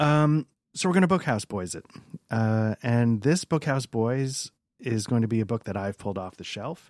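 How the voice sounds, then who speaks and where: A man with an ordinary speaking voice, medium pitch, lively intonation, a moderate pace and big swings in loudness, in a very clean recording with a silent background. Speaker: podcast host. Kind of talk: casual chat. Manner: joking, casual, profane.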